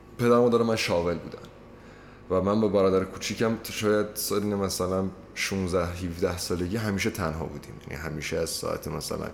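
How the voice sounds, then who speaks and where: A very deep, low male voice at a fairly quick pace, with ordinary pitch variation, audible room echo and noticeable background noise. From Iranian Azerbaijan. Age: 20s. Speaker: law student. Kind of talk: casual chat.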